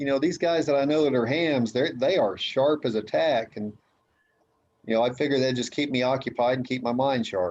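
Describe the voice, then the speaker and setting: A man speaks in a normal speaking voice at medium pitch. His pace is fairly quick, with ordinary pitch variation. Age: 60s. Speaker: amateur radio operator. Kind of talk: casual chat.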